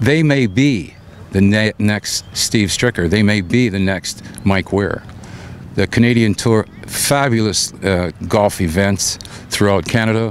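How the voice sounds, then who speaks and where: With very even loudness and ordinary pitch variation, a man speaks at a fairly slow pace in a fairly low pitch against noticeable background noise. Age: 70s. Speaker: professional golfer. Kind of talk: interview.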